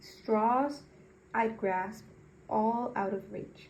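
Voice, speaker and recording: Somewhat breathy and dark, mellow in tone, a woman speaks at a fairly high pitch. She goes at a very slow pace with ordinary pitch variation. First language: not English. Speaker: magazine reader, channel owner. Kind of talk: reading aloud. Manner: halting; self-correcting.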